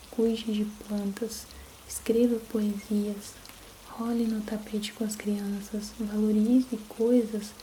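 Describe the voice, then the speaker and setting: A soft-spoken woman with a gentle tone and fairly high pitch talks at a very slow pace in a monotone, flat intonation, with noticeable background noise behind her. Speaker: ASMR content creator. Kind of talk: soft audiobook-style reading of a self-help book. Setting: steady rain sound in the background. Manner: soft-spoken, gentle, relaxing.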